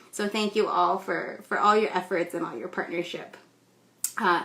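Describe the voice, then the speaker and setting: This woman speaks with a West Coast US accent. Background noise is noticeable. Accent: General American (West Coast). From California, US. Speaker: ESOL instructor. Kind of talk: live stream talk and storytelling. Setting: Instagram Live stream. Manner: casual with many fillers.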